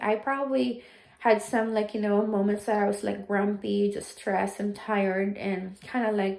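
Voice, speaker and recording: Here a woman speaks with a Filipino accent at a medium pitch. Her pace is moderate and her intonation fairly even. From Philippines. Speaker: vlogger, nurse. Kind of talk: casual storytelling vlog. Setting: at home doing chores. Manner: hesitant, many fillers.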